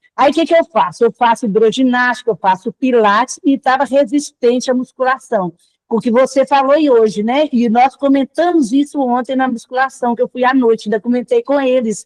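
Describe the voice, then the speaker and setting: High-pitched female speech at a moderate pace, with ordinary pitch variation, very even loudness, hardly any pauses, and a dry, close sound with no echo. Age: 60s. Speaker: club member asking a question. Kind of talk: casual chat.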